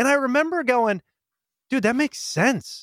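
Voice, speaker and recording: The recording is very clean, with a silent background and a dry, close sound with no echo. A man speaks at a fairly quick pace. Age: 30s. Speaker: podcast host and communication workshop speaker. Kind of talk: interview.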